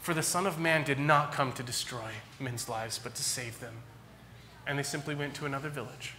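A man with an American accent at a fairly quick pace, ordinary pitch variation, and light background noise. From California. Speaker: pastor. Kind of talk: sermon. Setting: church. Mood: earnest, gently appealing. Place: church. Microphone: podium.

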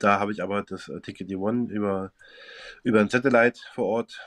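Against a quiet background, a man with a fairly low pitch and fairly even intonation talks at a moderate pace with long, frequent pauses. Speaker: football fan and poker player. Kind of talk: casual chat.

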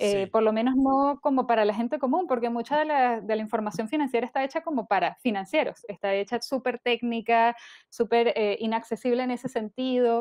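A woman with a high voice talks at a fairly quick pace, barely pausing. Her pitch varies in an ordinary way, and the background is quiet. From Venezuela. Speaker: personal finance podcaster. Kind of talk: interview. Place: home room. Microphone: earbuds.

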